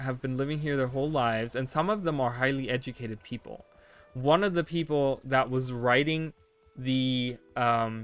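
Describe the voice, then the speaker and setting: Here a man with a German accent talks at a moderate pace. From Germany. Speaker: video game streamer. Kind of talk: casual chat.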